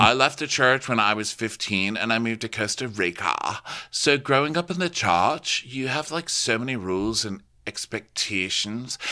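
Against a silent background in a very clean recording, a man of medium pitch speaks at a moderate pace with lively intonation and a bright, sharp tone. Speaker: podcast co-host. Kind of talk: casual chat.

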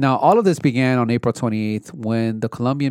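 A man talks at a very fast pace with a medium pitch. The sound is dry and close with no echo, on a very clean recording with a silent background. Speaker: podcast co-host. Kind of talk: casual chat, political discussion.

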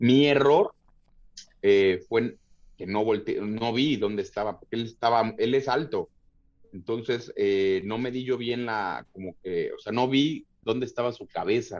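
Spoken in a Mexico City accent at a fairly slow pace, the voice shows ordinary pitch variation over a quiet background. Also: man, medium pitch for a man. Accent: Mexico City (chilango) Spanish. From Mexico City area (Tlalnepantla, State of Mexico). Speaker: MMA fighter. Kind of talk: casual chat. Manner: halting, many repeated words.

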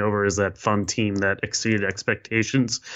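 A man with a normal speaking voice talks at a fairly low pitch. His pace is fairly quick and his intonation fairly even. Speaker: basketball writer. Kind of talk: casual sports chat.

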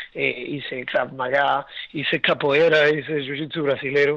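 The man's voice sits at a fairly high pitch. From Argentina and Venezuela (Puerto Ordaz). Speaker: breathwork and ice bath instructor. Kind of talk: interview conversation. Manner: halting, many repetitions and fillers.

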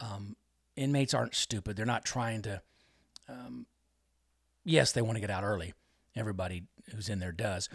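A man's fairly low voice, lively in intonation and edged with vocal fry, at a fairly quick pace broken by long, frequent pauses, on a very clean recording with a silent background. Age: 50s. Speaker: former judge. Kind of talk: interview. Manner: hesitant, many fillers.

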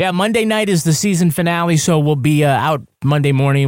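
In a playful tone, a man talks at a very fast pace on a very clean recording with a silent background. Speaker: true crime author and podcast co-host. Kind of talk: casual banter and podcast review. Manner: joking, playful.

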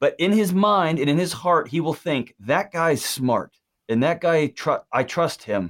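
Over a very clean recording with a silent background, a man with an American accent and a normal speaking voice talks at a fairly slow pace, his fairly high pitch showing ordinary pitch variation. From Texas. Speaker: mental health expert. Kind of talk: interview.

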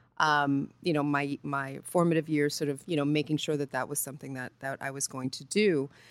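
A woman speaks at a moderate pace in a very deep, low voice. The recording is very clean, with a silent background. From New York, Puerto Rican heritage. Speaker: journalist discussing media diversity. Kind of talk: interview conversation.

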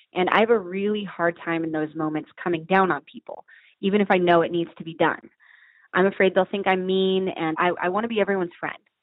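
A woman's ordinary speaking voice at medium pitch, with fairly even intonation and a fairly quick pace. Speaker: restaurant owner. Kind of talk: recorded listener question. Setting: phone call.

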